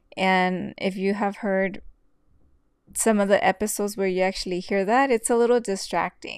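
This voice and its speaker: The woman's voice sits at a medium pitch. She speaks at a moderate pace with fairly even intonation. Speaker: podcast host and interior designer. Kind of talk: solo podcast monologue. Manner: casual, with fillers and laughs.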